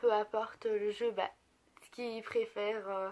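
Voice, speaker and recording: A woman's fairly high voice at a very slow pace. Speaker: beauty and lifestyle youtuber. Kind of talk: casual vlog. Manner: hesitant, many filler sounds.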